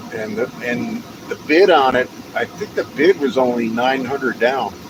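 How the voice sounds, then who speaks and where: A man with an American accent speaks at a medium pitch and a moderate pace. His intonation is lively, with noticeable background noise present. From Texas. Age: 50s. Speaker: live streamer. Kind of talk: casual live stream chat. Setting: outdoors, walking. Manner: rambling, halting.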